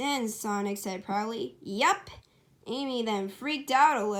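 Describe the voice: The text is read aloud plainly, and the pitch varies in an ordinary way.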